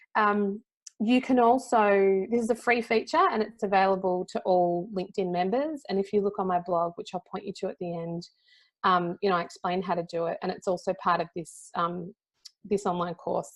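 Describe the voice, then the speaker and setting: Fairly quick speech from a woman with an Australian accent. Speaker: LinkedIn and personal branding consultant. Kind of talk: presentation. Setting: conference talk with audience. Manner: fast; conversational.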